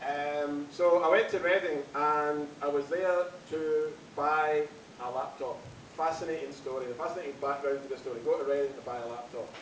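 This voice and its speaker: A man talks at a moderate pace with a fairly high pitch and fairly even intonation. Audible room echo and noticeable background noise fill the recording. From Scotland, West Highlands. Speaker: comedy MC. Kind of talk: stand-up. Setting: stage with audience.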